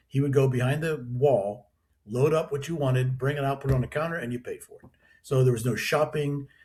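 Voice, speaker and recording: Someone with an American accent talks at a fairly quick pace, somewhat breathy. The intonation is fairly even, while the loudness swings a lot. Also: man, fairly high pitch for a man. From western Pennsylvania. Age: 60s. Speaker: distillery owner. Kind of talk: podcast interview. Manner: halting, many restarts.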